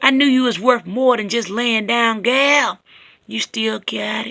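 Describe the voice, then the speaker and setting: A woman uses a put-on character voice with a fairly high pitch, fairly even intonation, and a fairly slow pace. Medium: read story. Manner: drawling, condescending.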